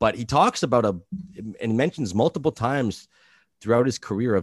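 With a Canadian accent and a normal speaking voice, a man talks at a moderate pace with ordinary pitch variation, the sound dry and close with no echo. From New Brunswick, Canada. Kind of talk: casual chat. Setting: video call.

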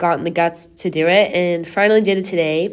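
A woman with a fairly low pitch speaks using fairly even intonation. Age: 20s. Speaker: podcast host and college swimmer. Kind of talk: casual solo chat. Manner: laughing often; filler-heavy, rambling.

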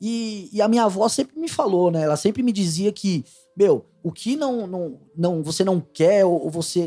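A man talks at a fairly slow pace in a high pitch. Music plays in the background. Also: lively intonation. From Pernambuco, Brazil (Abreu e Lima). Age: 30s. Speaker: data analyst. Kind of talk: casual chat. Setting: studio.

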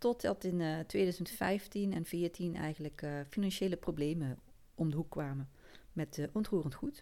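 At a fairly slow pace, a woman speaks in a dark, mellow tone at a fairly low pitch. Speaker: podcast host. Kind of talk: personal story monologue. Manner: hesitant, many fillers.

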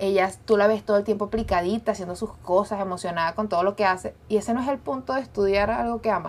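Here a woman speaks at a very fast pace. Her pitch is medium, with ordinary pitch variation. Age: 20s. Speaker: podcast co-host. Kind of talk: casual chat. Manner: animated.

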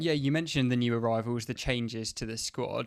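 On a very clean recording with a silent background, a man speaks very fast at a medium pitch. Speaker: podcast host. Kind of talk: scripted intro then interview.

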